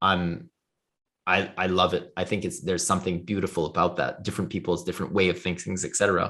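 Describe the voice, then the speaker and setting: Very deep, low-voiced man with a Quebec accent, fairly quick, over a quiet background. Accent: French Canadian accent in English. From Canada, Ottawa area, French Canadian. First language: French. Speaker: blockchain foundation leader. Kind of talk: interview. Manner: hesitant, many fillers and restarts.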